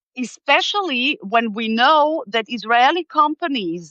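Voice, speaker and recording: A woman talks with a German accent. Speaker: political commentator. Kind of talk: live interview discussion. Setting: live video stream. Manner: hesitant, many fillers and restarts.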